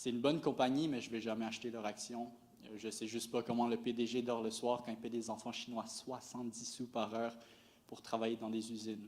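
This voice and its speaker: A man with a Quebec accent, medium pitch and a fairly quick pace. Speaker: stand-up comedian. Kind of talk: stand-up comedy set. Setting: live stage before an audience. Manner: monotone.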